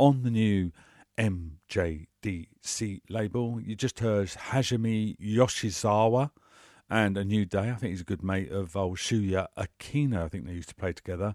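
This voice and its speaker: A man's relaxed, fairly low-pitched voice with a British accent, at a fairly slow pace. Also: dry, close sound with no echo, very clean recording, silent background. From UK. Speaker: radio DJ. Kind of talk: radio DJ patter, chatty and informal, introducing tracks and music news. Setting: radio studio.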